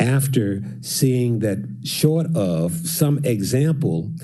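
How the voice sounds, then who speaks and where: A man speaks at a medium pitch with a dark, mellow tone. His voice is somewhat breathy, and the room echo is audible. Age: 80s+. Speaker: songwriter and music business owner. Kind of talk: public address to council.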